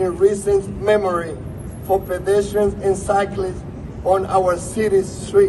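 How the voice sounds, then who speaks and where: A man with a strong Spanish accent speaks at a fairly slow pace in a high pitch with monotone, flat intonation. Noticeable background noise runs under his voice. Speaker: politician. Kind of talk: prepared speech.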